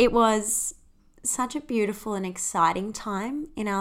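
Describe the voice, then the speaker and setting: In an Australian accent, a woman speaks on a very clean recording with a silent background. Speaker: podcast host. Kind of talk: personal storytelling monologue.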